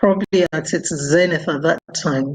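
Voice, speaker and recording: A woman with a Nigerian accent speaks at a very slow pace. Her intonation is fairly even. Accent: Nigerian (Yoruba) English. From Nigeria, Ibadan (Yoruba). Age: 70s. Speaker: doctor and former ambassador. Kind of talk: interview.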